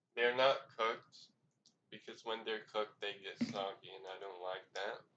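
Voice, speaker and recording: A quiet, bright, sharp voice at a moderate pace, with fairly even intonation and big swings in loudness. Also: man, fairly low pitch for a man. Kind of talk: casual food review talk to camera. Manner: quiet, low volume.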